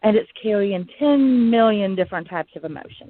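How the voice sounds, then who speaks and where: With an Alabama accent, a woman speaks in a lively, varied intonation. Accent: Southern US (Alabama). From US South, Huntsville, Alabama. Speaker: podcast host. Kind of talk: casual monologue.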